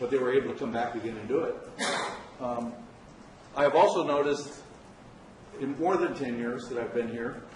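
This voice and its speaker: A man with a medium pitch talks at a fairly quick pace with fairly even intonation and long, frequent pauses, against noticeable background noise and audible room echo. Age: 60s. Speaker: public commenter, local business owner. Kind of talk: public comment at county board meeting. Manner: halting, many fillers.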